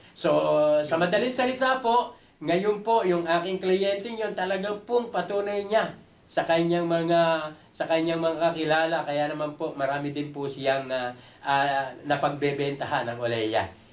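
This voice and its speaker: A man's high-pitched voice with lively intonation, at a fairly slow pace, in audible room echo. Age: 60s. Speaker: product user giving testimonial. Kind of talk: testimony. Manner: halting; polite.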